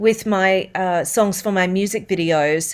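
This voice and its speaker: The recording is very clean, with a silent background. The speaker goes at a fairly slow pace with ordinary pitch variation. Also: woman. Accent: Australian. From Australia. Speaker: voice-over artist and singer. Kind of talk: interview answer.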